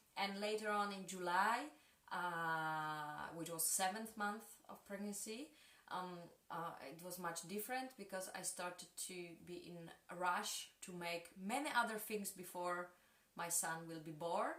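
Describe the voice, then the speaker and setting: A woman with a Polish accent speaks at a fairly slow pace and a medium pitch, with ordinary pitch variation. Her loudness swings widely, and audible room echo surrounds her. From Poland (Kraków), two childhood years in Mexico. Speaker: dancer and choreographer. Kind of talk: interview. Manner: halting, many hesitations.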